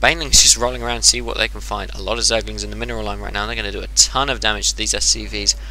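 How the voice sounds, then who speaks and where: Noticeable background noise surrounds a man with an English accent. He talks at a very fast pace in a very deep, low voice. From England. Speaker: game commentator. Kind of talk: replay commentary. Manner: animated.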